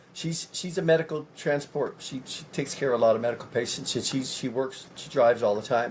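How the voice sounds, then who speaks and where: The speaker moves at a fairly quick pace with ordinary pitch variation while noticeable background noise runs underneath. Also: man, big swings in loudness. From California. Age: 50s. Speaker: presidential candidate. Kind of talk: interview.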